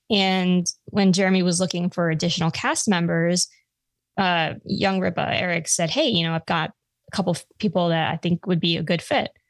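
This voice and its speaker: A woman's fairly low voice in a New York accent, fairly even in intonation and very even in loudness, on a very clean recording with a silent background and a dry, close sound with no echo. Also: moderate pace. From Long Island, New York. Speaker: gun podcaster. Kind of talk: casual interview chat.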